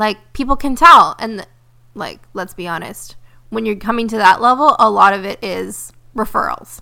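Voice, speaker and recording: An animated, bright, sharp tone with vocal fry, big swings in loudness, ordinary pitch variation and a moderate pace. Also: woman, fairly high pitch for a woman. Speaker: podcast host and spiritual business coach. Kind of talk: casual monologue.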